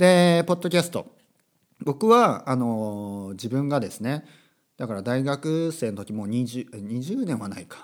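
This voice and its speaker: An unremarkable speaking voice from a man, medium in pitch with lively intonation, at a fairly slow pace on a very clean recording with a silent background. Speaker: podcast host, language teacher. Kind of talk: casual monologue podcast.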